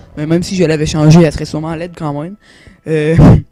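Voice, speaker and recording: The delivery comes at a very fast pace. Music plays in the background. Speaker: gaming youtuber. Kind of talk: game review commentary. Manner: hesitant, many fillers.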